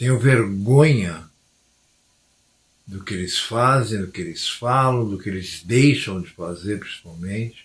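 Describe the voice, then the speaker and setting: A man's fairly low, somewhat breathy voice at a fairly slow pace, with long, frequent pauses, big swings in loudness and ordinary pitch variation, on a very clean recording with a silent background. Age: 60s. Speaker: former pastor, religious commentator. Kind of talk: religious monologue to camera.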